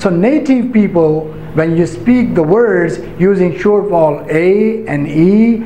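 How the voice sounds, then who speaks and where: Against light background noise and audible room echo, a man speaks at a very slow pace and a high pitch. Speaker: English language teacher. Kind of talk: pronunciation lesson to camera. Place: classroom.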